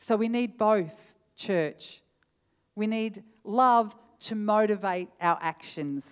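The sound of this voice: The pitch rises and falls in an ordinary way. An unforced reading voice is heard against a quiet background.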